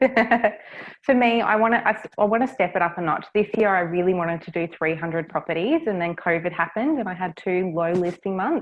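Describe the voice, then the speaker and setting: A woman at a medium pitch with ordinary pitch variation and a fairly quick pace. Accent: Australian. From Australia, Cairns, Far North Queensland. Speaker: property business development manager. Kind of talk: interview.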